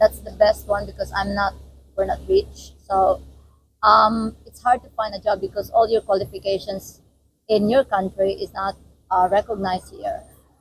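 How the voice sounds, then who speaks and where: Music can be heard behind the speaker. She is a woman talking at a moderate pace. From Philippines. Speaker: nurse, international student. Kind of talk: casual interview.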